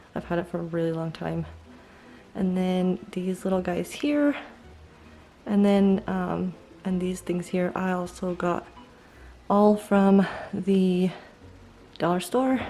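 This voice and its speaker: Soft-spoken and dark, mellow in tone, the voice moves at a very slow pace. Long pauses come frequently. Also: woman. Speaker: home decor vlogger. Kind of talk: house tour vlog. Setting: at home, handheld camera. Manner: casual with many fillers.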